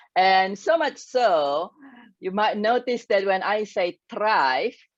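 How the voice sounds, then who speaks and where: A woman of medium pitch with an Indonesian accent, very slow in pace, with very wide pitch swings. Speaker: grief and success coach. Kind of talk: interview talk. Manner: halting.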